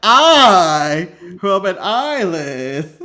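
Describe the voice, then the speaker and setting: In a put-on character voice at a middle pitch, the speaker drawls with very wide pitch swings. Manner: very slow drawl.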